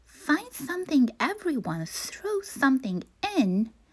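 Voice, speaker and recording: Putting on a character voice, a woman talks fairly slowly at a high pitch with very wide pitch swings. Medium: read story.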